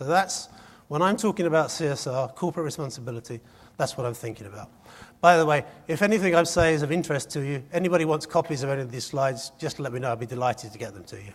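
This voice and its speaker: A man speaks very fast in a fairly high, somewhat breathy voice, his intonation lively and his loudness swinging widely. The recording is very clean, with a silent background. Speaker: conference speaker. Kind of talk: conference presentation. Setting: stage with audience.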